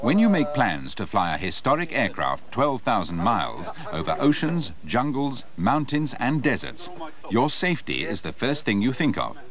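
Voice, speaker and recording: Over noticeable background noise, a man talks in a medium pitch at a moderate pace, his pitch swinging very widely. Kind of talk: 1980s documentary promo narration. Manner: formal, measured, authoritative; polished, clear, scripted delivery.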